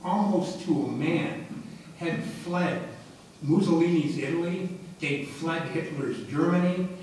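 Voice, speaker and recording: A man with an American accent, high-pitched and monotone at a fairly slow pace, with audible room echo and noticeable background noise. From Detroit, Michigan. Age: 70s. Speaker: war veteran. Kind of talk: testimony.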